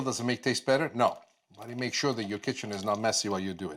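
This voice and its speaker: A man speaks with a Sicilian accent and ordinary pitch variation. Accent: Italian (Sicilian) accent in English. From Sicily, Palermo. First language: Italian. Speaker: TV chef. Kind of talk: cooking demonstration.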